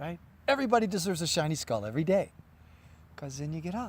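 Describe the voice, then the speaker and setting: A man speaks with lively intonation. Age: 60s. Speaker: yoga teacher. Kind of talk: interview.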